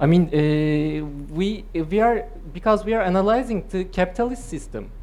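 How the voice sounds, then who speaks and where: A woman's medium-pitched voice with a Turkish accent and lively intonation. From Turkey. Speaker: political economist. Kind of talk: academic seminar discussion. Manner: halting, frequent hesitations.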